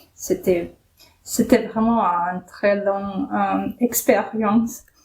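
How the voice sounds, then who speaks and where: With a Ukrainian accent, a woman speaks very slowly at a medium pitch, somewhat breathy and with fairly even intonation. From Ukraine. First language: Ukrainian (speaking French). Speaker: immigrant interviewee. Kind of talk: interview. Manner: halting.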